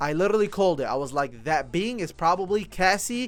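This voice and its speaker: Loud and animated, a man with a non-native accent speaks at a high pitch with lively intonation. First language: not English. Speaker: anime and manga reviewer. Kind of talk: casual review.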